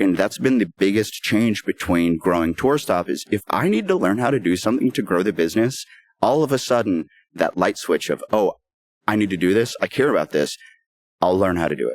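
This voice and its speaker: With a dry, close sound and no echo, a man speaks in a fairly low pitch. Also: lively intonation. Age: 30s. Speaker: music promoter and songwriter. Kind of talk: podcast interview. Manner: halting.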